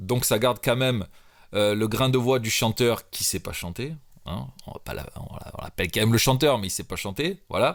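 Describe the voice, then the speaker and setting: In a very clean recording with a silent background, a man of medium pitch speaks at a moderate pace with vocal fry, ordinary pitch variation and big swings in loudness. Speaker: rapper and music producer. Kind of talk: tutorial. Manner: casual, hesitant with fillers.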